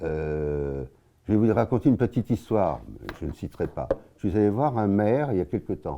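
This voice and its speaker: A man's fairly low, dark and mellow voice at a moderate pace, with long, frequent pauses and very wide pitch swings. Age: 80s+. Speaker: local party spokesman. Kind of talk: interview. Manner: halting.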